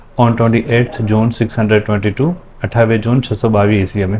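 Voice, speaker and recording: At a moderate pace, a man speaks in a calm tone at medium pitch with fairly even intonation, against noticeable background noise. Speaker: teacher. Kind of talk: classroom lesson reading with translation.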